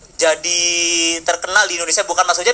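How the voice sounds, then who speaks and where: With a Central Javanese accent, a man speaks at a high pitch. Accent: Central Javanese accent, noticeable. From Central Java (Bumiayu). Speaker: audience member asking a question. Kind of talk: question from the floor at a discussion forum. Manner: hesitant, many fillers.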